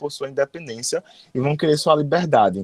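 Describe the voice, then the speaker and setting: Dry and close with no echo, this clip has a man speaking. His pitch is fairly high, with ordinary pitch variation. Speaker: history teacher. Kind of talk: lecture. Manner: fast; sometimes stumbles over words.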